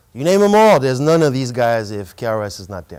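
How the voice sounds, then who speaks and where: Over a silent background in a very clean recording, a man with a French accent talks fairly quickly with lively intonation. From France, Paris; later New York teens. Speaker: hip hop artist and curator. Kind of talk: presentation to students. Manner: casual, engaging with audience.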